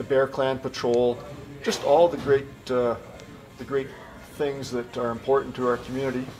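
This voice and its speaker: Talking at a moderate pace with long, frequent pauses, a man with a Canadian Prairie accent keeps a medium pitch and fairly even intonation over light background noise. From rural Manitoba, Canada. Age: 60s. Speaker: car dealership owner; interviewee. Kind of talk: interview; interview answer. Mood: warm, relaxed. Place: office. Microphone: camera far.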